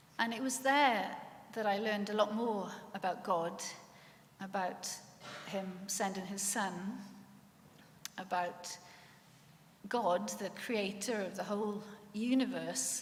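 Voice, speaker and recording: At a fairly slow pace and a medium pitch, a woman with a Welsh accent talks with fairly even intonation and long, frequent pauses amid audible room echo. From Wales, Swansea Valley. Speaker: lecturer sharing faith testimony. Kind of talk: testimony.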